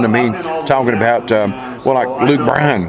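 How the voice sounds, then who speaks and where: With music in the background, a man speaks at medium pitch with ordinary pitch variation. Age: 60s. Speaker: country singer. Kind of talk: interview.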